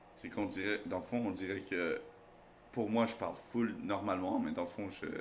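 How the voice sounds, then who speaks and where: A moderate pace, with noticeable background noise and audible room echo. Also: man. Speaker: YouTuber. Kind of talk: casual storytelling. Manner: loud.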